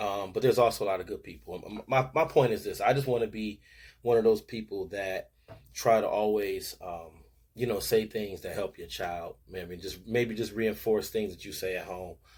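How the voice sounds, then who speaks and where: A man's somewhat breathy, fairly low voice with an American accent, ordinary pitch variation and big swings in loudness, at a moderate pace on a very clean recording with a silent background. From Buffalo, New York (East Side). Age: 40s. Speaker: sports show host and youth coach. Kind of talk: casual commentary monologue. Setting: home man cave. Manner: animated.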